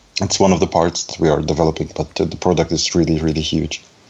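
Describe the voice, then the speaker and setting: A man's voice, monotone and flat in intonation. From Belarus, raised in Germany. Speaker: front-end developer. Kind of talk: casual chat. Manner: halting.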